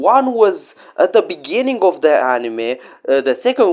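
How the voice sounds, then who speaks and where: The man has a non-native accent and speaks at a fairly slow pace. His pitch swings very widely. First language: not English. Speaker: anime YouTuber. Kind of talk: casual vlog monologue. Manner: halting, many fillers and restarts.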